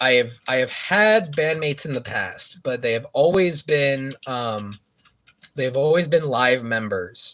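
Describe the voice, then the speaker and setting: Speaking fairly slowly with an American accent, a man uses lively intonation at a medium pitch. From San Francisco Bay Area, California. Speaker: musician streaming a live gaming stream. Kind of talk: casual chat. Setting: livestream. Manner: quiet, soft-spoken.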